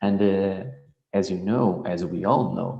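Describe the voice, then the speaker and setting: Heard with audible room echo, the speaker uses a Portuguese accent, a fairly slow pace and ordinary pitch variation. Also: man. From Portugal, central region. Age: young. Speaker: sports biomechanics researcher. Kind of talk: conference presentation.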